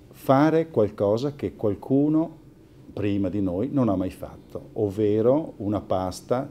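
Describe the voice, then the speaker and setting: Speaking with a strong Italian accent, a man at a moderate pace has a fairly low pitch, a dark, mellow tone and lively intonation. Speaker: family pasta company owner. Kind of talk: interview, mostly in Italian.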